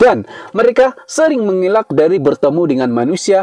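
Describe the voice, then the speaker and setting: In a strong Sabahan accent, a man talks at a fairly quick pace in a high voice with very wide pitch swings, the sound dry and close with no echo. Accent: strong Sabahan village. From Sabah, Malaysia (village). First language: Dusun (speaking Indonesian). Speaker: YouTuber, storyteller. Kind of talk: casual storytelling vlog.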